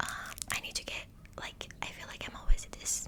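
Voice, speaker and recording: A woman whispers fairly slowly amid noticeable background noise. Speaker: ASMR creator. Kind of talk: ASMR whispered talk to camera. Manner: soothing, reflective, personal.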